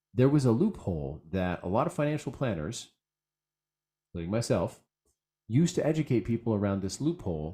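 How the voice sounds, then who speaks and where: Speaking at a fairly quick pace with an American accent, a man uses a medium pitch, a dark, mellow tone and very wide pitch swings. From San Francisco Bay Area, California. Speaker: financial planner. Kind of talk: webinar presentation. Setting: online webinar. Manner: hesitant, repeats words.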